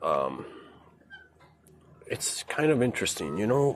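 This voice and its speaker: A man's voice at a fairly slow pace. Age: 60s. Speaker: boating and fishing livestreamer. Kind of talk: casual monologue on a livestream. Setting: on a boat outdoors. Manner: halting, many fillers.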